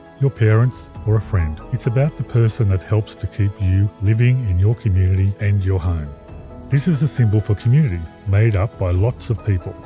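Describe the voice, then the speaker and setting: Music plays behind a man who speaks at a moderate pace with fairly low pitch and ordinary pitch variation. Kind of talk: explainer narration.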